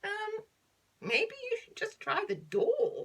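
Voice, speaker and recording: A squeaky, put-on character voice at an extremely high pitch, delivered at a very slow pace. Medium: read story.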